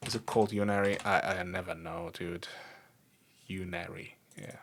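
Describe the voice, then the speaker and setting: A man's very deep, low voice with a non-native accent, flat monotone delivery at a moderate pace, and big swings in loudness. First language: not English. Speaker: programming streamer. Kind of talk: live coding stream. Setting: livestream. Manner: casual, thinking aloud with fillers.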